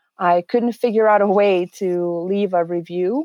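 A woman speaks with a Serbian accent at a fairly slow pace and a medium pitch. The sound is dry and close with no echo, over a quiet background. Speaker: HR specialist. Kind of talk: interview.

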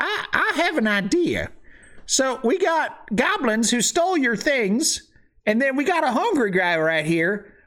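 A put-on character voice that moves at a fairly slow pace, with very wide swings in pitch. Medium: actual play. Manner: dry, blunt.

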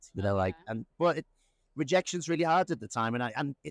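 This man talks very fast with an Irish accent, his pitch swinging very widely. The sound is dry and close with no echo, on a very clean recording with a silent background. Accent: Irish-sounding, self-described. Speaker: media company founder. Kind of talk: casual interview chat. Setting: in person at an event. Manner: halting, many fillers and restarts.

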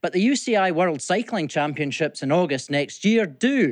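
This man has a Scottish accent. His intonation is lively. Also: quiet background. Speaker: business leader. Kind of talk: scripted report.

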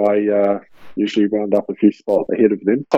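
A man speaks in a fairly low pitch. His pace is fairly quick. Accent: New Zealand. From New Zealand. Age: 30s. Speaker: professional basketball player. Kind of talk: interview. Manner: halting, many fillers.

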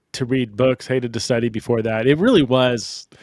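A man with a medium pitch speaks at a moderate pace. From United States. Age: 40s. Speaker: biblical scholar and author. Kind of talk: interview. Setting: remote call. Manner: halting, repeats words.

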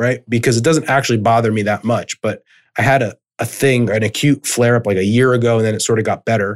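A man with an ordinary speaking voice talks at a fairly quick pace, his medium pitch varying in an ordinary way. The recording is very clean, with a silent background. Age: 30s. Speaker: rehab chiropractor and business coach. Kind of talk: interview. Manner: casual, filler-heavy.

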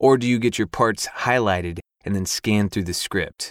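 A man talks at a moderate pace in a dry, close sound with no echo, on a very clean recording with a silent background. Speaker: audiobook narrator and former stand-up comedian. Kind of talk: recorded answers to listener questions.

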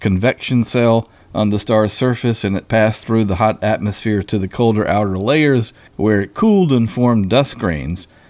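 A man at medium pitch with ordinary pitch variation and a moderate pace, an ordinary speaking voice. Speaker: podcast host and science journalist. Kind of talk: interview.

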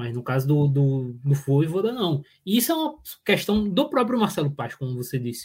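A man with a normal speaking voice and a fairly high pitch talks at a fairly quick pace. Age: 20s. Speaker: football analyst co-host. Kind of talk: casual tactical football discussion.

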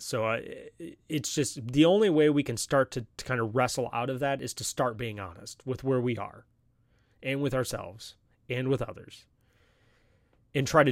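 On a very clean recording with a silent background, a man with an unremarkable speaking voice talks at medium pitch and a moderate pace with ordinary pitch variation. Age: 30s. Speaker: podcast host. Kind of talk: solo podcast monologue. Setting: live stream.

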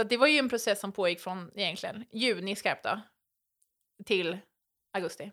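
The speaker moves at a moderate pace with long, frequent pauses and ordinary pitch variation, on a very clean recording with a silent background. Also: woman, medium pitch for a woman. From western Sweden, island near Gothenburg. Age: 30s. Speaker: reality TV contestant. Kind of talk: casual interview chat. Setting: at the host's home.

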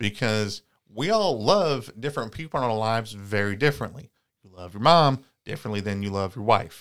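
Delivered at a fairly quick pace in an unremarkable speaking voice, the speech swings widely in loudness over a very clean recording with a silent background. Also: man, medium pitch for a man, ordinary pitch variation. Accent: American. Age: 30s. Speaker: podcast co-host and comedian. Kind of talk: casual chat.

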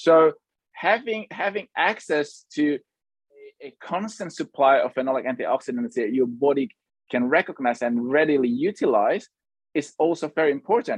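Close and dry with no echo, a man's voice comes at a fairly high pitch and moderate pace, swinging very widely in pitch. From Indonesia. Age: 30s. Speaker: food scientist and company founder. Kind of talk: interview. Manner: hesitant, with fillers and repetitions.

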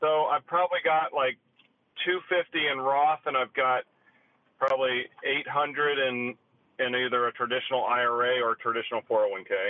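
Speaking fairly quickly, a man with an unremarkable speaking voice keeps a medium pitch and ordinary pitch variation. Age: 40s. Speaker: caller. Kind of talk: call-in question. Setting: phone call.

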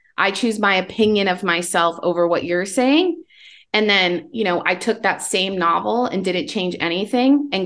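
A woman's normal speaking voice with lively intonation, a fairly slow pace and a quiet background. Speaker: author. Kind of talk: casual chat.

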